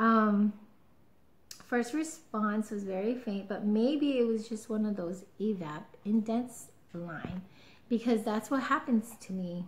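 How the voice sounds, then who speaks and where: Very slowly, a woman speaks in a fairly high pitch, somewhat breathy, with ordinary pitch variation. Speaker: vlogger. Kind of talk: casual vlog. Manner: chatty, excited. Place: home room. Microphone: webcam.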